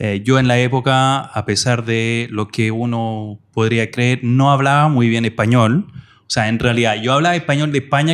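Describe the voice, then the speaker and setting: In a very clean recording with a silent background, a man speaks at a moderate pace, medium pitch and fairly even intonation. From France, of Portuguese parents. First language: French (speaking Spanish). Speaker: digital marketing professor. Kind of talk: interview podcast.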